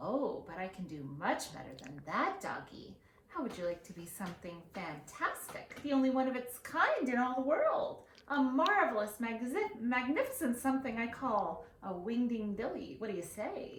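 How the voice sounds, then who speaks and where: A shrill, put-on character voice moves at a moderate pace. There is a slight echo. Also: female-sounding voice, high pitch for a woman. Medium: read story. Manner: bouncy, excitable.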